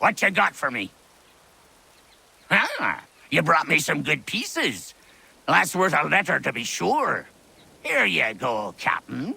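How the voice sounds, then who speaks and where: Done in a put-on character voice, the delivery is fairly slow, broken by long, frequent pauses. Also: man, fairly high pitch for a man. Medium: video game. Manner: salty pirate slang, sly, mocking.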